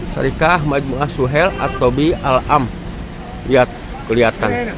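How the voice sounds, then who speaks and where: A man's fairly high voice, with ordinary pitch variation, moves at a fairly slow pace while noticeable background noise carries on. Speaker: vlogger. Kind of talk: vlog walkthrough narration. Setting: outdoors then hospital.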